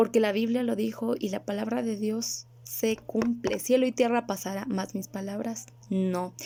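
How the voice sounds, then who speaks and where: Her tone is dark and mellow, somewhat breathy. The woman's pitch sits fairly high. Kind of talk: religious video monologue.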